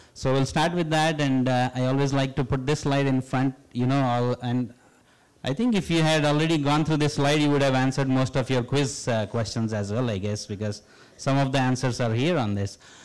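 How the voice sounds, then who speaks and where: At a fairly quick pace, a man speaks with an Indian accent. His loudness stays very even. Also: medium pitch for a man, ordinary pitch variation. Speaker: professor. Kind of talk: public lecture. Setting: stage with audience.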